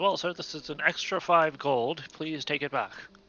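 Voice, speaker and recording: A man speaks at a moderate pace in a put-on character voice, his pitch fairly high. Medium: actual play. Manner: formal, polite.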